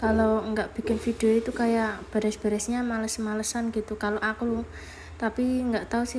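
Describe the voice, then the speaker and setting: In a Javanese accent, the speaker talks at a moderate pace with monotone, flat intonation. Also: woman. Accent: Javanese accent in Indonesian. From Java, Indonesia. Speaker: vlogger and housewife. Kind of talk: casual vlog voiceover. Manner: casual, somewhat halting.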